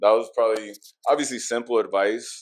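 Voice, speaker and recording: On a very clean recording with a silent background, a man speaks at a moderate pace. His intonation stays fairly even. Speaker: podcast host and PA announcer. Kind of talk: casual chat. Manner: mellow, low-key.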